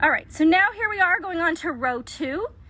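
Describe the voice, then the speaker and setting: Raising and projecting her voice, a woman speaks at a fairly quick pace with lively intonation. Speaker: crochet content creator. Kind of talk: tutorial. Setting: livestream. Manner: fast.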